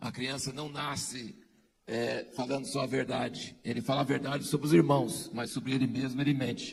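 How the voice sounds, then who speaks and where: Somewhat breathy, a man speaks at a moderate pace. His intonation stays fairly even. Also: medium pitch for a man. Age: 60s. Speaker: pastor. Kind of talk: testimony.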